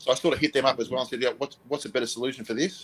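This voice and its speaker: A man speaks with an Australian accent. His pitch is medium. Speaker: motorcycle vlogger, co-host. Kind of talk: casual chat. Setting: live stream.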